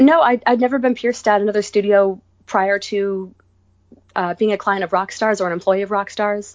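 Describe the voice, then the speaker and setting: An ordinary speaking voice from a woman with an American accent, medium pitch, fairly even intonation, fairly quick pace. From US Northeast, Rhode Island. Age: 30s. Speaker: body piercer and studio owner. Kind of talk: casual interview.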